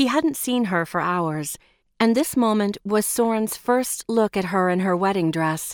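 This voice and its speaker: In a very clean recording with a silent background and a dry, close sound with no echo, a woman talks fairly slowly in an unremarkable speaking voice with ordinary pitch variation. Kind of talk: audiobook narration of a romance novel. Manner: measured, expressive storytelling pace; shifts tone between narration and dialogue.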